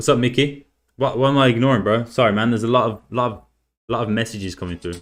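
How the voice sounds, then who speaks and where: The very fast speech shows big swings in loudness on a very clean recording with a silent background. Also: man, medium pitch for a man. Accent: English. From England. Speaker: forex day trader streamer. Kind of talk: live stream chat. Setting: live stream with camera. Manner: casual, energetic.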